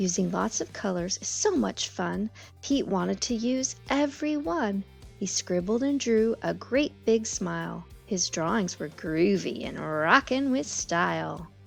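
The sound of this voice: Faint music plays in the background as a woman speaks at a fairly slow pace, her pitch medium. Her intonation is lively, and vocal fry runs through her voice.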